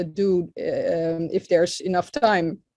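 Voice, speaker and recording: A woman's medium-pitched voice with a dark, mellow tone, at a very slow pace. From Netherlands. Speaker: physician. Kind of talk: webinar presentation. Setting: online webinar. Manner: halting, many fillers.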